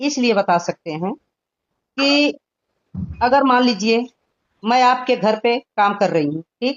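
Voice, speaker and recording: The speaker uses lively intonation and leaves long, frequent pauses. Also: woman, high pitch for a woman. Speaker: caller, community activist. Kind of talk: heated phone argument. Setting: phone call. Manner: calm, measured.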